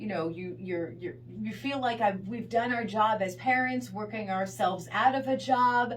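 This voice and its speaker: In a normal speaking voice, this speaker uses lively intonation at a moderate pace with hardly any pauses. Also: woman, medium pitch for a woman. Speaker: radio show host giving advice. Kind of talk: radio advice segment. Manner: warm, empathetic.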